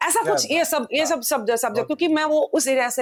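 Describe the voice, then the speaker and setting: The intonation of this woman is lively. She speaks at a moderate pace. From Assam, India. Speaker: playback and folk singer. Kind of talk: podcast interview answer.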